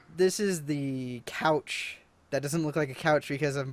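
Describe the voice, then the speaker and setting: An American accent comes through as a man speaks at a moderate pace with fairly even intonation. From United States. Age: 20s. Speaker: YouTuber and podcast host. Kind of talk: casual chat. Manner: hesitant, many fillers.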